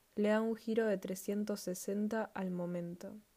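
A woman with a Rioplatense accent speaks at medium pitch in a dark, mellow tone with fairly even intonation. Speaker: podcast host. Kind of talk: casual podcast monologue. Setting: home living room at night.

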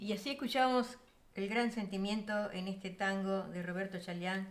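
Here is a woman with an unremarkable speaking voice at a medium pitch. Her intonation stays fairly even. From Uruguay. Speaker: radio show host. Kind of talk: radio music program hosting.

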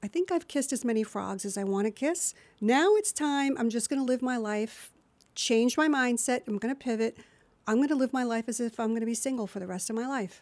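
A woman speaks with an American accent at a fairly quick pace, her high pitch moving with ordinary variation over a very clean recording with a silent background. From New Jersey. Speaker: voiceover actor. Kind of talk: interview.

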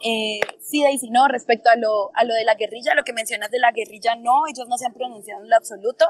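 A woman talks at a very fast pace with hardly any pauses, at a fairly high pitch with ordinary pitch variation and big swings in loudness. The sound is dry and close with no echo, with noticeable background noise. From Colombia, Popayán (Cauca). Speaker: university student and activist. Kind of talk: interview about current protests.

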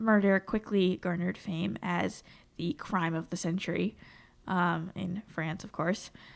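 Fairly slow speech with ordinary pitch variation on a very clean recording with a silent background. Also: woman, big swings in loudness. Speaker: podcast co-host. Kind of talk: true crime storytelling.

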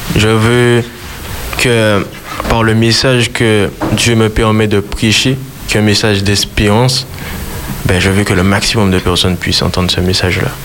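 Amid noticeable background noise, a man with a fairly low pitch talks fairly slowly, with long, frequent pauses, very even loudness and fairly even intonation. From Martinique. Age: 20s. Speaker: gospel singer. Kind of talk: radio interview. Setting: studio.

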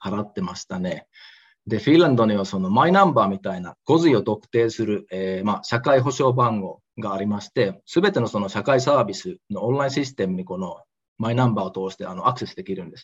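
A man with an ordinary speaking voice talks at a fairly quick pace, his medium pitch carrying lively intonation and big swings in loudness against a quiet background. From Osaka, Japan. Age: 30s. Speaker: entrepreneur. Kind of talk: interview.

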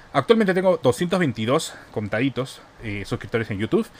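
A man's voice at a fairly slow pace. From Peru, Iquitos. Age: 20s. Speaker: youtuber and podcaster. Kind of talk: solo monologue podcast. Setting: home bedroom studio.

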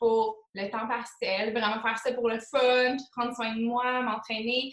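Her pitch high and her intonation monotone and flat, a woman talks at a very slow pace with hardly any pauses. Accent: Quebec. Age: 20s. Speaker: motivation coach in network marketing. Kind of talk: casual interview. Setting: call.

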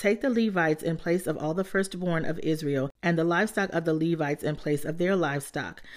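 A woman talks at a fairly quick pace in an ordinary speaking voice with fairly low pitch, on a very clean recording with a silent background. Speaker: Bible reader podcast host. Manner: steady, reverent, even-paced; warm, encouraging.

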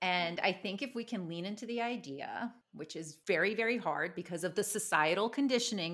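A normal speaking voice from a woman, medium in pitch, with an American accent and lively intonation, on a very clean recording with a silent background. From United States. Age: 40s. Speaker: magazine founder, writer. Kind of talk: casual interview chat.

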